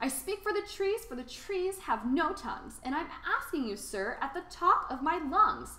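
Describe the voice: Over faint background noise, a woman does a put-on character voice with a high pitch, a bright, sharp tone and big pitch swings. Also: moderate pace.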